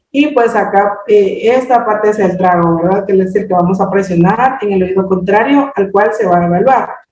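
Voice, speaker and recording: With very even loudness and hardly any pauses, a woman speaks at a medium pitch with ordinary pitch variation, and the room echo is audible. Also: moderate pace. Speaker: hearing screening trainer. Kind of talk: training presentation. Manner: halting, many fillers.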